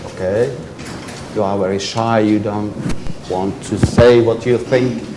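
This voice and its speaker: Noticeable background noise and audible room echo surround a man's fairly low voice. He speaks at a fairly slow pace with fairly even intonation. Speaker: professor. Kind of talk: lecture.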